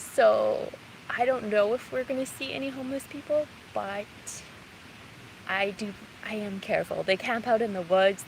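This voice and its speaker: Over noticeable background noise, a soft-spoken woman with a fairly high voice talks at a moderate pace with ordinary pitch variation. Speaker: gardening vlogger. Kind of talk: live walking vlog. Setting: outdoors, forest park.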